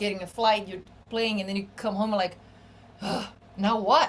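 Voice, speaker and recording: A woman at a medium pitch, with fairly even intonation and a Portuguese accent. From Brazil. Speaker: bassist and singer-songwriter. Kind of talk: podcast interview. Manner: casual, with many fillers.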